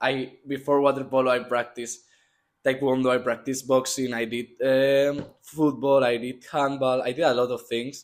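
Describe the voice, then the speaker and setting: In a Spanish accent, a man speaks at a moderate pace and medium pitch with monotone, flat intonation. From Spain, Madrid. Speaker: student athlete, water polo player. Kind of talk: interview.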